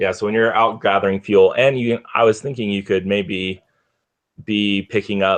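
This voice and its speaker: The man here speaks in a fairly low pitch. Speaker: game designer. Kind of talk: casual brainstorming chat.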